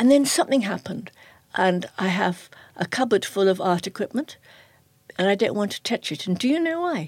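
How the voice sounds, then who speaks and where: A somewhat breathy woman's voice at medium pitch and fairly quick pace, with very wide pitch swings, dry and close with no echo, on a very clean recording with a silent background. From northern England, Liverpool. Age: 70s. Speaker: journalist and writer. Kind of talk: interview. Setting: studio.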